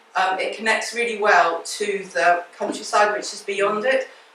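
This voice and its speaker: A woman talks with a fairly high pitch. Noticeable background noise sits behind her. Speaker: gardener giving a talk. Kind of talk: illustrated talk to a local group. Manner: fast; projecting loudly to the room.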